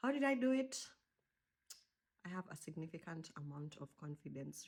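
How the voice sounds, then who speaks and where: Her intonation is lively as this woman speaks at a moderate pace. The voice is somewhat breathy. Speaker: podcast host. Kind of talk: casual chat. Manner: animated.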